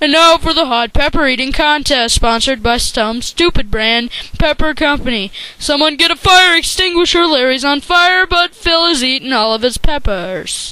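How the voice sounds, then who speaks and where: Over light background noise, a cartoonish character voice talks in a high pitch at a moderate pace. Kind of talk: sports commentary. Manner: excited, fast.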